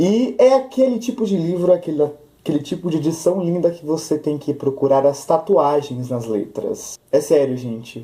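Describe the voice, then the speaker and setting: A man's voice with a dark, mellow tone swings very widely in pitch. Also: fairly high pitch for a man. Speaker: book youtuber. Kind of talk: casual book review vlog. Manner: fast.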